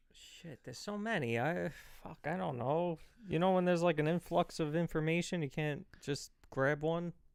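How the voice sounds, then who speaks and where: Fairly high in pitch, a man with a Brooklyn accent speaks with ordinary pitch variation. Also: moderate pace, big swings in loudness. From Brooklyn, New York. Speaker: podcast co-host. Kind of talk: casual chat.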